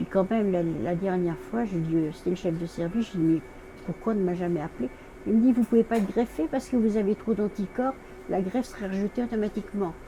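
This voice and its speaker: Very fast speech from a woman at medium pitch, with ordinary pitch variation and noticeable background noise. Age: 80s+. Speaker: dialysis patient. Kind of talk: interview answer.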